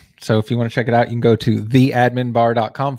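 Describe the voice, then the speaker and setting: A man with an American accent has an unremarkable speaking voice at a medium pitch, talking at a fairly quick pace in a dry, close sound with no echo. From US South, Texas. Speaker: web agency owner and Facebook group admin. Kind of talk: casual chat.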